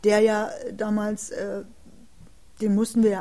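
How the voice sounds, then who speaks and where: A woman's somewhat breathy voice with a dark, mellow tone at a moderate pace. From East Germany, Jena, Thuringia. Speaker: author and former political prisoner, contemporary witness. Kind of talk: interview conversation. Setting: city library recording. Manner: halting, with many filler sounds.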